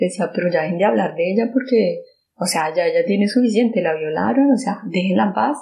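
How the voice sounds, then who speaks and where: Her voice is a medium-pitched, dark, mellow one, somewhat breathy, and the woman talks at a fairly quick pace with lively intonation. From Colombia. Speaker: survivor sharing personal testimony. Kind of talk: testimony. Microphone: poor sound quality.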